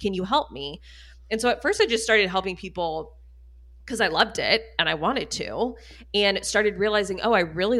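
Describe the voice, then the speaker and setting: The tone is bright and sharp, and the pace is fairly quick. Pitch varies in an ordinary way. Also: woman. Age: 30s. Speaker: spending coach. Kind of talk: casual chat.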